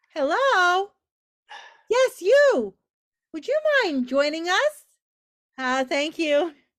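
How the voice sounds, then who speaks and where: A woman's squeaky, put-on character voice at an extremely high pitch, with very wide pitch swings, a very slow pace and long, frequent pauses. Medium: stage play. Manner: forceful, decisive.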